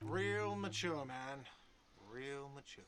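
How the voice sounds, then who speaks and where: Putting on a whiny character voice, a man speaks at a medium pitch with ordinary pitch variation. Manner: whiny, complaining.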